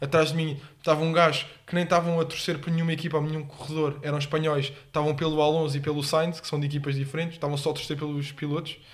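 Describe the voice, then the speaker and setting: Speaking at a very fast pace, a man with a fairly high pitch sounds somewhat breathy and keeps a flat, monotone intonation. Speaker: podcast co-host. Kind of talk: casual chat.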